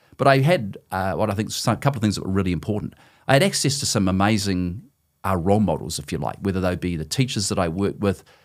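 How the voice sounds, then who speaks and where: A man with a fairly low pitch and ordinary pitch variation speaks at a very fast pace. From New Zealand, South Auckland. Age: 60s. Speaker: former company CEO, author. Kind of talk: podcast interview.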